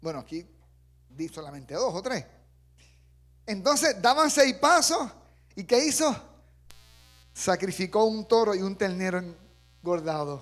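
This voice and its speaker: Animated and high-pitched, a man speaks at a fairly slow pace with long, frequent pauses, very wide pitch swings and big swings in loudness. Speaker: preacher. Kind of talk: sermon. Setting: church. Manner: animated, fervent; direct, exhorting the congregation. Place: church. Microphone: handheld.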